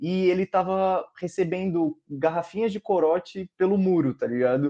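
This man's voice sits at a high pitch. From Brazil. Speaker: podcast co-host. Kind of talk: casual chat.

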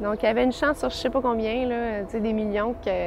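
A woman talks with a fairly high pitch. Noticeable background noise sits behind her. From Quebec City. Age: 20s. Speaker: young churchgoer giving a faith testimony. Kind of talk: testimony.

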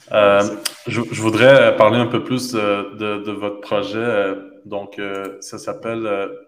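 With audible room echo and noticeable background noise, a man speaks very slowly at a fairly low pitch in a monotone, flat delivery. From Quebec (Montreal). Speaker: podcast host. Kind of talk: interview. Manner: halting, many repetitions.

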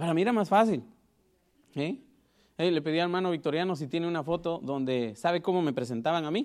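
A man's high-pitched voice at a very fast pace, with lively intonation broken by long, frequent pauses. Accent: Guatemalan. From Guatemala. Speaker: preacher. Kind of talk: sermon. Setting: church.

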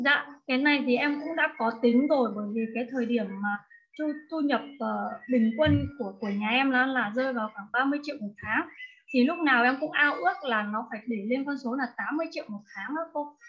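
The woman has a high pitch with ordinary pitch variation. She speaks at a moderate pace. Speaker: course participant. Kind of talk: personal sharing in online class. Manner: animated, laughs often.

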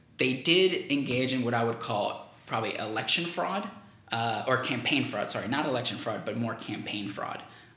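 A man keeps a moderate pace while room echo is audible and background noise is noticeable. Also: medium pitch for a man, ordinary pitch variation. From Venezuela. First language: Spanish. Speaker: political campaigner, graduate student. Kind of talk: interview.

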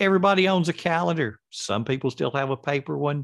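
In a quiet background, a man with an ordinary speaking voice talks at a fairly high pitch with lively intonation. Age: 60s. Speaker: author and educator. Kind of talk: interview.

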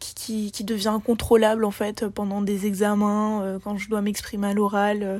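The delivery is fairly slow and monotone, with flat intonation and hardly any pauses. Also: woman, medium pitch for a woman. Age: young. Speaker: interviewee, smoker. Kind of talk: interview testimony.

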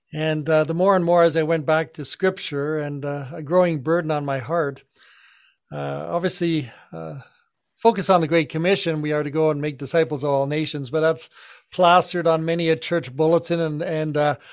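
Fairly high in pitch, a man talks at a moderate pace with fairly even intonation. The background is quiet. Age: 60s. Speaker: pastor and podcast co-host. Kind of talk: casual chat. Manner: halting.

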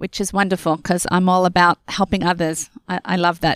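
On a very clean recording with a silent background, a woman at medium pitch speaks with fairly even intonation, the sound dry and close with no echo. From Australia. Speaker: author and entrepreneur. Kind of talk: interview.

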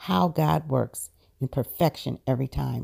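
Recorded dry and close with no echo, a woman talks at a moderate pace. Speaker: prayer circle lead. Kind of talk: guided prayer (spiritual mind treatment). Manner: measured, affirming, solemn cadence.

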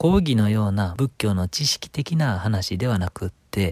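A man with a fairly low pitch speaks at a moderate pace, his intonation lively and his voice somewhat breathy. The sound is dry and close with no echo, in a very clean recording against a silent background. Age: 30s. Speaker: Buddhist priest and radio interviewer. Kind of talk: podcast introduction monologue. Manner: polite.

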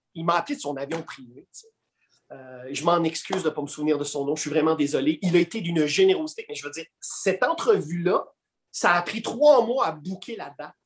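A man with a high pitch speaks fairly quickly, his intonation lively. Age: 40s. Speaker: comic book columnist and actor. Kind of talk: casual interview.

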